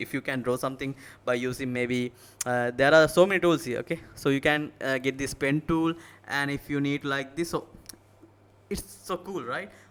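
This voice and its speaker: This man speaks with a Sri Lankan accent at a fairly high pitch. His pace is moderate and his pitch varies in an ordinary way. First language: Sinhala. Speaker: tech tutorial youtuber. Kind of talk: tutorial. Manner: halting.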